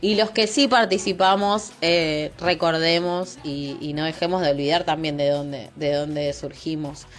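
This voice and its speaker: Speaking at a fairly slow pace with hardly any pauses, a woman with a Rioplatense accent uses a fairly low pitch and ordinary pitch variation over noticeable background noise. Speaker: podcast host. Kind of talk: casual chat.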